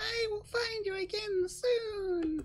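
Over light background noise, a put-on character voice comes out squeaky and extremely high-pitched.

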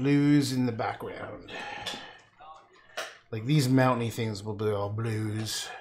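A man's very slow speech with ordinary pitch variation and light background noise. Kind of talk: casual livestream tutorial chat. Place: home room.

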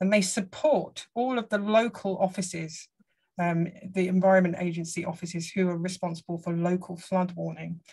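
Against a quiet background, a woman with a southern English accent speaks in a dark, mellow, somewhat breathy voice with fairly even intonation. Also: moderate pace. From England. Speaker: hydrology professor. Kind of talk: lecture. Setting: video call. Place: home room. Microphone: video call.

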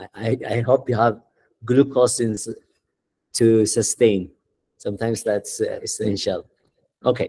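A man talks at a fairly slow pace with big swings in loudness. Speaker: tutor. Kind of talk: tutorial.

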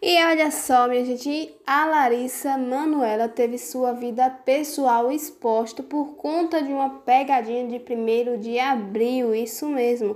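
Speaking very slowly with hardly any pauses, a woman with a Brazilian accent keeps a high pitch and ordinary pitch variation. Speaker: celebrity gossip YouTuber. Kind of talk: gossip video monologue. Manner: animated.

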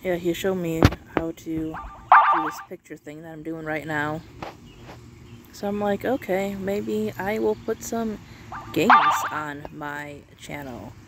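Against loud background noise, a woman talks at a fairly slow pace with long, frequent pauses, and the sound is dry with no echo. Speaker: channel host. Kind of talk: casual vlog chat. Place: open country. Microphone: phone near.

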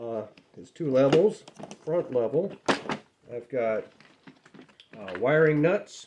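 A man talks at a fairly slow pace. Light background noise can be heard. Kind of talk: casual show-and-tell. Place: workshop.

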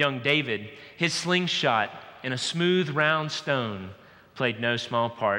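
Very slow and very even in loudness, a man's speech still carries lively intonation. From US South, Georgia. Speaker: pastor. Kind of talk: sermon. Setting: church. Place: church. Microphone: headset.

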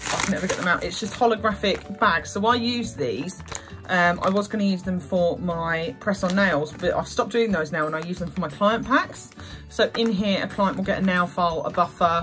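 Clear music plays behind a woman speaking at a moderate pace. Her pitch is fairly low, with ordinary variation. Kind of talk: casual haul vlog chat. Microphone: phone near.

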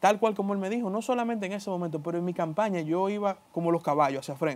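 A man talks at a very fast pace in a high pitch. His pitch varies in an ordinary way. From Dominican Republic. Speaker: politician. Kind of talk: interview. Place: studio. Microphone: lapel.

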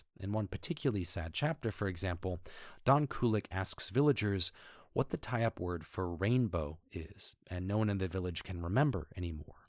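A man with a very deep, low voice talks at a moderate pace in a very clean recording with a silent background. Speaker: anthropologist, educational YouTuber. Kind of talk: educational talk to camera.

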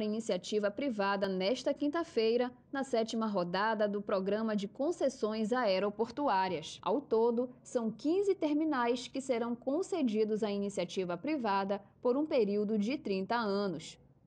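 With an ordinary speaking voice, a woman talks at a fairly slow pace with hardly any pauses, her fairly high pitch carried by lively intonation. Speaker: news presenter. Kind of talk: TV news reading, scripted. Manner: formal, steady; measured, even newsreader pace.

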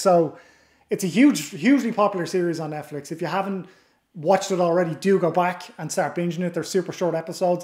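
A man talks at a fairly quick pace in a high pitch, with ordinary pitch variation, audible room echo and a quiet background. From Ireland. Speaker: podcast host. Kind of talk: casual interview.

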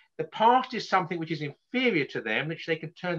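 With a quiet background, a man in an English accent speaks at a high pitch and with lively intonation. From England. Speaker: author and lecturer; lecturer. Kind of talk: lecture. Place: home room. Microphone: webcam.

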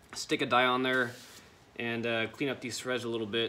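At a moderate pace, a man speaks in a bright, sharp tone over light background noise. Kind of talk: casual tutorial vlog. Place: garage. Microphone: phone near.

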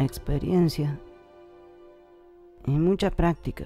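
Music plays in the background as a woman with a fairly low pitch and ordinary pitch variation speaks very slowly. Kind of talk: promo dialogue, scripted advertisement for a dubbing school.

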